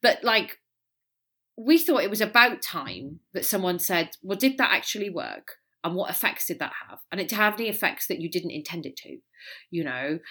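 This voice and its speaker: A woman with a Welsh accent speaks at a moderate pace and medium pitch, with a bright, sharp tone. Her pitch swings very widely and her loudness rises and falls sharply, on a very clean recording with a silent background. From Wales. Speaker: polarization expert and author. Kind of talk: interview conversation.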